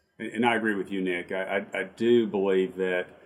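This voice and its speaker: A man with an unremarkable speaking voice and a fairly low pitch talks at a moderate pace, his intonation fairly even. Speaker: chamber of commerce CEO, podcast host. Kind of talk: interview chat. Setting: video call.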